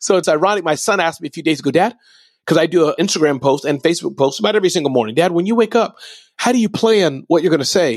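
Speaking at a very fast pace, a man uses a high pitch, lively intonation and an animated tone. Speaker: entrepreneur and motivational speaker. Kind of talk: interview.

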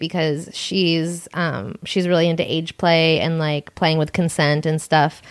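A woman speaks with an American accent in a low voice. Her pace is moderate and her pitch variation ordinary.

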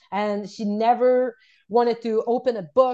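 In a Quebec accent, a woman speaks at a fairly slow pace. Her pitch sits fairly high, and the background is quiet. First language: French. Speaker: wellness coach and unschooling mother. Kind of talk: interview storytelling.

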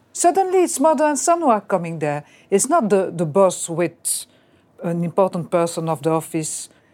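A woman in a French accent speaks at a moderate pace, her medium-pitched voice dark and mellow in tone with very wide pitch swings. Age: 60s. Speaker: real estate business owner. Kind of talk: counseling session.

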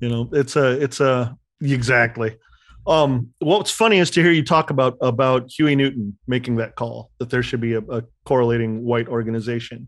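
A man speaks at a moderate pace in an unremarkable speaking voice, medium in pitch. His pitch varies in an ordinary way, and the background is quiet. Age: 50s. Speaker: podcast host. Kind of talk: interview.

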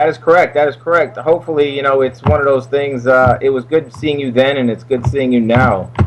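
A man with a New York accent talks at a very fast pace, his medium pitch showing ordinary variation. Noticeable background noise is present. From New York (Brooklyn). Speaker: actor. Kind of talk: casual interview. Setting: studio.

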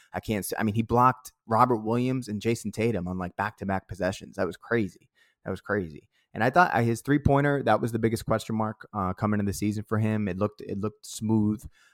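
Speaking very fast with a Boston accent, a man has a fairly low pitch and ordinary pitch variation, in a dry, close sound with no echo. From Boston (Dorchester). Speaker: basketball podcast co-host and musician. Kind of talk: casual chat.

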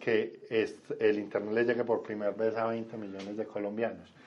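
A man speaks in a medium pitch at a moderate pace. His intonation is monotone and flat. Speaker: government vice minister. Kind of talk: radio interview.

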